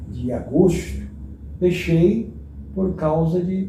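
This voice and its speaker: A man with a dark, mellow tone talks at a very slow pace, with audible room echo. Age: 70s. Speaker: retired pastor. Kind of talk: interview. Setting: at home.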